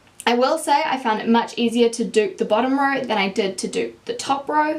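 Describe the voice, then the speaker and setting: A woman with a strong New Zealand accent talks at a fairly quick pace. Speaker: beauty YouTuber. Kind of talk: makeup tutorial review. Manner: casual, chatty.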